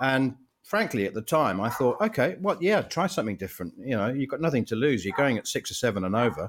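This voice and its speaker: With vocal fry and a fairly high pitch, a man talks at a fairly quick pace on a very clean recording with a silent background. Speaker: cricket journalist. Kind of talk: casual chat.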